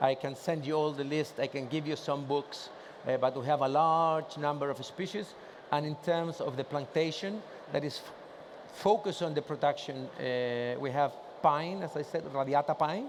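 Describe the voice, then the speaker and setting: A man speaks with a Spanish accent at a moderate pace. His pitch is fairly high and his intonation fairly even. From Chile. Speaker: trade association president. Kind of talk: conference presentation. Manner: casual, joking.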